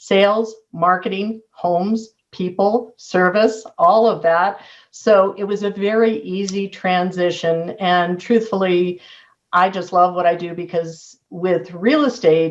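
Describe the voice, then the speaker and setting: Very slow in pace, a woman with an American accent uses a medium pitch and fairly even intonation. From US West Coast, San Diego. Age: 60s. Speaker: real estate agent. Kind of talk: interview.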